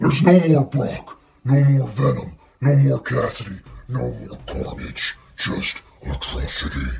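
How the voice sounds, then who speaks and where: A man adopts a put-on character voice and talks at a fairly slow pace. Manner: menacing, gloating.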